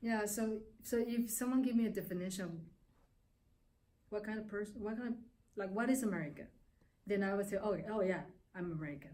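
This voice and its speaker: Very fast, somewhat breathy speech in a dark, mellow tone, with long, frequent pauses, ordinary pitch variation and audible room echo. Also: woman, medium pitch for a woman. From Taiwan. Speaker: immigrant interviewee. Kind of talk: interview testimony.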